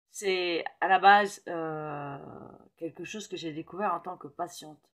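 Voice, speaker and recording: A woman's fairly low voice at a very slow pace, with fairly even intonation and big swings in loudness against a quiet background. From Paris, France. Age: 50s. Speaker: metahypnosis practitioner. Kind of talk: casual talk to camera. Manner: hesitant, many fillers. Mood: enthusiastic, personal. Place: home room. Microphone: phone near.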